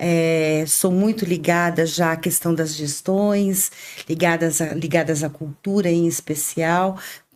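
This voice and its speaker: A woman speaks very slowly at a fairly low pitch, her intonation monotone and flat. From Brazil, Suzano (São Paulo state). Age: 50s. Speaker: dancer and educator, guest. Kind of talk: podcast interview.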